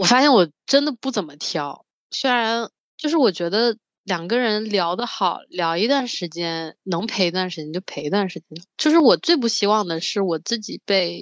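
A woman at a moderate pace with very wide pitch swings and big swings in loudness, dry and close with no echo against a quiet background. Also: medium pitch for a woman. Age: 20s. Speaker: podcast co-host. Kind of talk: casual chat.

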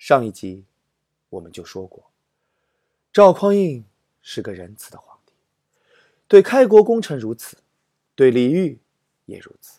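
A man with a fairly high voice and a dark, mellow tone speaks fairly slowly with long, frequent pauses, very wide pitch swings and big swings in loudness. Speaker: literature storytelling podcast host and teacher. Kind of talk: humorous storytelling narration. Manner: animated.

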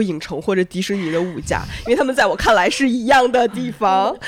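A woman talks at a fairly quick pace in a normal speaking voice, with medium pitch and ordinary pitch variation. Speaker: podcast host. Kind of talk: casual chat.

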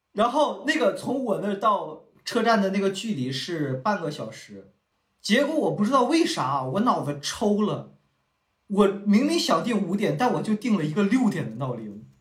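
A man's high voice with very wide pitch swings at a moderate pace, with audible room echo. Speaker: podcast co-host. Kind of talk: casual chat.

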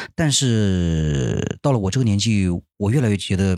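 Fairly low in pitch with lively intonation, a man speaks at a moderate pace in a very clean, dry, close recording with no echo and a silent background. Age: 30s. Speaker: podcast host and amateur stand-up comedian. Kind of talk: casual solo monologue. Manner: hesitant, many filler sounds.

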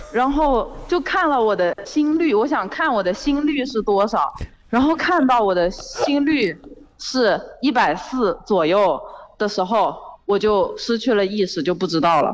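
A woman with a fairly high voice speaks at a fairly slow pace, her pitch swinging very widely. Her loudness stays very even over noticeable background noise. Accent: Zhejiang. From Zhejiang. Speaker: caller, student. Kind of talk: casual chat. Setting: phone call.

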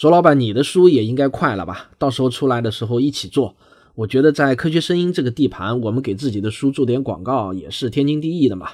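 Against a quiet background, a man speaks at a very fast pace with a medium pitch and lively intonation. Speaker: science podcaster. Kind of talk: podcast discussion.

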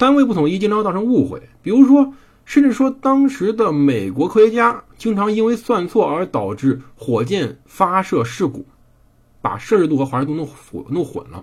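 Very wide pitch swings at a moderate pace. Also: man, high pitch for a man. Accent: slight Henan. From Henan, China. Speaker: podcast host reading and narrating history. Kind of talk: history storytelling monologue. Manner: casual, conversational.

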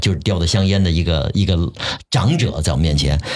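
Ordinary pitch variation in a very deep, low male voice at a fairly quick pace. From Shanghai. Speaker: voice actor and TV sports presenter. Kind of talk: casual chat.

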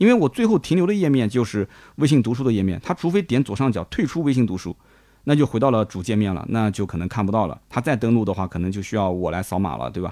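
Talking at a very fast pace with lively intonation, a man is heard in a dry, close sound with no echo. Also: medium pitch for a man, quiet background. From Nanjing, China. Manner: conversational, chatty.

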